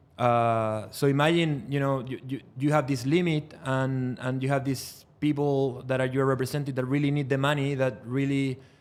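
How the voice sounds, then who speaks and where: Speaking at a fairly slow pace, a man with a Spanish accent has a fairly high pitch. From Chile. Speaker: trial lawyer. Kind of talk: podcast interview.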